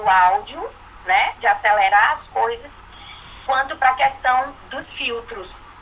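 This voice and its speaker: Through noticeable background noise, a woman speaks very slowly in a high voice with lively intonation. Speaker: student. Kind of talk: online class discussion.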